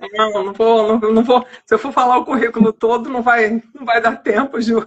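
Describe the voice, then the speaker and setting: Here a woman speaks at a fairly high pitch and a moderate pace. Her intonation is monotone and flat, yet her loudness swings widely. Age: 60s. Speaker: librarian and author. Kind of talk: casual interview chat. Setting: online live stream.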